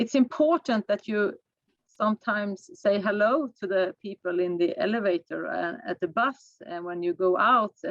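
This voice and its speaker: With a non-native accent, a woman speaks at a moderate pace with lively intonation. The sound is dry and close, without echo. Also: medium pitch for a woman. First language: not English. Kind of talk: workshop discussion. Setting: video call. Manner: halting.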